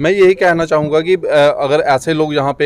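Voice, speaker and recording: A man talks at a moderate pace. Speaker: guest. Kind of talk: press interview statement. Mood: positive, promotional. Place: hall. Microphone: handheld.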